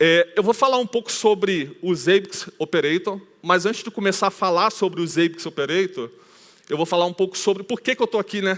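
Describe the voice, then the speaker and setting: A man with a Rio de Janeiro accent, high pitch, ordinary pitch variation and moderate pace, on a very clean recording with a silent background. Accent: carioca (Rio de Janeiro). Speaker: conference speaker, IT team leader. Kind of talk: conference talk. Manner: casual, with many filler hesitations.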